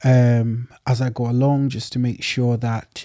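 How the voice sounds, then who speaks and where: Dark and mellow in tone, a man's voice sits at medium pitch with monotone, flat intonation. The sound is dry and close, with no echo. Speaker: podcast host. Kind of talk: casual monologue. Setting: garage studio. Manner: halting, many fillers.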